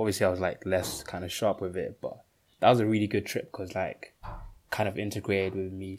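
A man's fairly low-pitched, monotone, flat delivery at a very fast pace, on a very clean recording with a silent background. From Uganda, moved to UK at nine. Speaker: podcast co-host. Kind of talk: casual chat.

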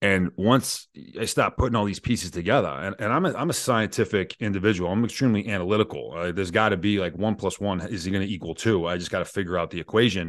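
Against a quiet background, a man with a fairly low pitch and ordinary pitch variation talks at a very fast pace with hardly any pauses. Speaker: Green Beret soldier and business founder. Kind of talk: casual interview. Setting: video call.

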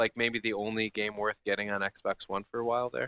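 A man is speaking. His pace is moderate. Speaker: gaming podcast host. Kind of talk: casual chat. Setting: remote recording away from home.

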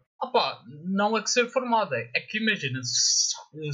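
A man's voice with lively intonation. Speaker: podcast co-host. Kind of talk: casual chat.

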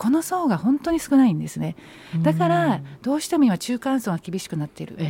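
Her fairly high pitch swings very widely as this woman speaks fairly quickly, with big shifts in loudness. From Saitama, Japan. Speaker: politician. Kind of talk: radio interview.

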